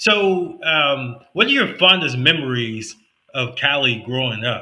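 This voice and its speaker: A man with an American accent speaks in a normal speaking voice at a medium pitch. His pace is fairly slow, with ordinary pitch variation. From United States. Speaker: podcast host. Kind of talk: podcast interview.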